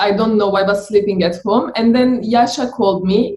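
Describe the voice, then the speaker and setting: With a Turkish accent, a woman speaks at a fairly high pitch in a dark, mellow tone that is somewhat breathy, her intonation fairly even. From Turkey. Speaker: delivery rider. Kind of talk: interview testimony.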